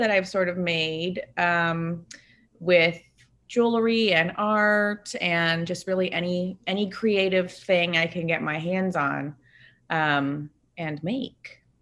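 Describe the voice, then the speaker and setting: With an American accent, a woman speaks at a medium pitch and a very slow pace, her pitch varying in an ordinary way. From Northern California, Bay Area. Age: 20s. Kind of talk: casual interview chat.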